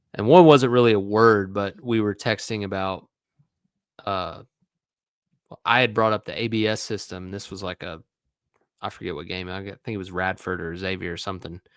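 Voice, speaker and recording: With an East Tennessee accent, a man speaks at a fairly low pitch and a moderate pace, with ordinary pitch variation, big swings in loudness and long, frequent pauses, in a very clean recording with a silent background. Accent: Southern US (East Tennessee). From East Tennessee, Morristown. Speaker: former college baseball player, sports analyst. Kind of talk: casual chat.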